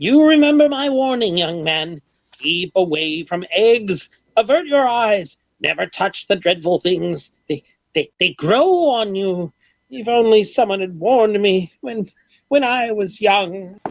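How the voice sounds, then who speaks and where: A female-sounding voice, fairly high in pitch with lively intonation, at a fairly slow pace in a dry, close sound with no echo. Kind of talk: 1930s radio comedy. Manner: theatrical, blustering, grandiloquent.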